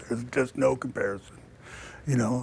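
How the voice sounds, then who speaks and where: A man speaks at a moderate pace and medium pitch. There is vocal fry in his voice. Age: 60s. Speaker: city council candidate. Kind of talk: political debate. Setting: studio.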